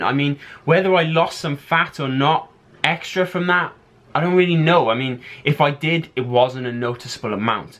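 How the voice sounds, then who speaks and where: In an English accent, a man speaks at a fairly high pitch. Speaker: fitness vlogger and bodybuilder. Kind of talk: casual vlog talk.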